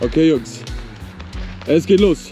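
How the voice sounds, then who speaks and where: Faint music sits in the background of a very slow delivery with dry sound and no echo. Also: man. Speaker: fitness vlogger. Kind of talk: casual vlog chat.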